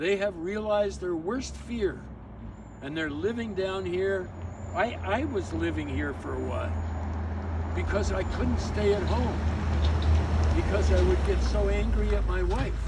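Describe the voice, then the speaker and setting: With noticeable background noise and audible room echo, a man talks at a fairly slow pace. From Canada. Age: 80s+. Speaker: community activist vlogger. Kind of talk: casual outdoor video monologue. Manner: halting, with many repeated words.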